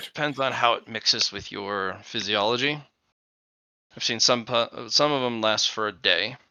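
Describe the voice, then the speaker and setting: A man does a raspy, put-on character voice at a medium pitch and a moderate pace. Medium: actual play. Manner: dry, wry, explanatory.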